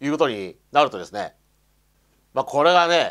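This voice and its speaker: Vocal fry runs through this man's speech over a quiet background. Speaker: YouTuber commenting on religion; commentator. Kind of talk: solo video monologue. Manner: halting, many fillers. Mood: bitter, resentful. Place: home room. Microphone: lapel.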